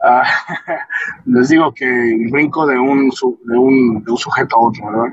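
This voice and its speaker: A man speaks at a medium pitch with ordinary pitch variation. His pace is very slow, yet he takes hardly any pauses. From Michoacán, Mexico. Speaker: podcast host, electrician. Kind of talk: casual monologue. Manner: halting.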